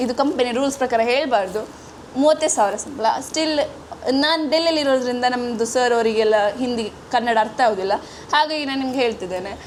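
Noticeable background noise behind a high-pitched woman whose pitch varies in an ordinary way. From coastal Karnataka, Udupi-Mangalore. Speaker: vlogger. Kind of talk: casual vlog.

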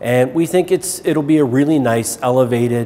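A man speaks with ordinary pitch variation while light background noise sits underneath. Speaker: shopping centre director. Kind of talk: interview answer. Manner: hesitant, many fillers. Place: shop.

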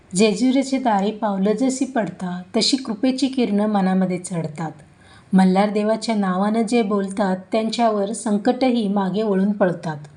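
A woman's somewhat breathy voice of medium pitch, dark and mellow in tone, with ordinary pitch variation. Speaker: narrator. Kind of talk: devotional story narration with verses.

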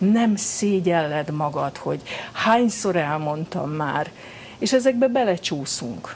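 A woman speaks very slowly at a fairly low pitch, her voice swinging very widely up and down over light background noise. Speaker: psychologist. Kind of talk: interview answer. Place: studio.

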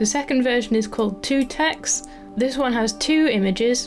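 Music plays in the background as a woman speaks at a medium pace. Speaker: papercraft designer. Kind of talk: tutorial.

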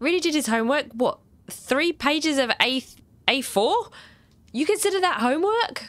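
Pitch swings very widely at a moderate pace, with long, frequent pauses. Loudness stays very even, and the sound is dry with no echo. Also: woman, high pitch for a woman. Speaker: gaming streamer. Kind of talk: let's play commentary. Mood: amused, mildly sarcastic.

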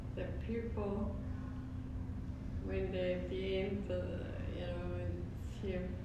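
A woman talks against loud background noise, with audible room echo. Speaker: elderly aunt. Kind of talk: casual conversation. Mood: relaxed, cheerful. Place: home room.

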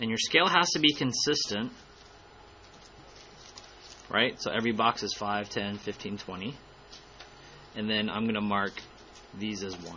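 A man at a fairly low pitch and fairly slow pace, with ordinary pitch variation, big swings in loudness, long, frequent pauses and light background noise. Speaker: math teacher. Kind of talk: tutorial.

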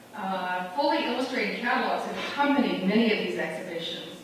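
A woman talks at a fairly quick pace. Strong room echo and light background noise are present. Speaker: college host introducing speaker. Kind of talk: formal introduction speech. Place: hall.

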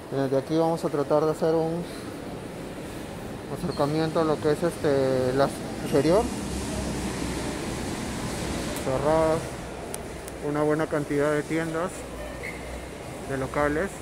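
Speech moves at a fairly slow pace with long, frequent pauses over noticeable background noise. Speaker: vlogger touring a mall. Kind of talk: casual vlog commentary. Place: market. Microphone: phone near.

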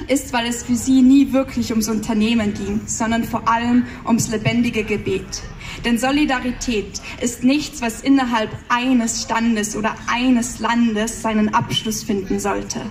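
A woman speaks in an Austrian accent at a fairly slow pace with monotone, flat intonation over light background noise. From Austria, Salzburg region. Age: 20s. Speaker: poetry slammer. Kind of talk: poetry slam performance. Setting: live stage, audience. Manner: mix of standard German and dialect. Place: stage.

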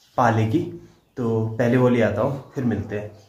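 A man talks at a moderate pace. Audible room echo and light background noise surround him. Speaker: family vlogger. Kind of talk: casual vlog chat. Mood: hopeful, slightly worried. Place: home room. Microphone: phone near.

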